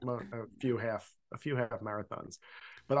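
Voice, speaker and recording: A man with an American accent talks at a moderate pace. His pitch is medium, with ordinary variation. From Philadelphia suburbs, US. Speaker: podcast host. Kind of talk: casual chat.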